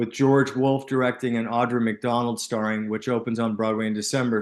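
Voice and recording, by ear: At a moderate pace, a man talks at medium pitch with little pitch movement.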